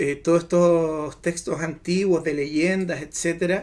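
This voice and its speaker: At a fairly slow pace, a man with a high pitch speaks in monotone, flat intonation. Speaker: podcast panelist. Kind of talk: casual chat. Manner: stammering.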